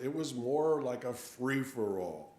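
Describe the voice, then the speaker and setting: Over noticeable background noise and audible room echo, a man with an American accent and medium pitch speaks very slowly with lively intonation. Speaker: sermon speaker at a church. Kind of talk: sermon.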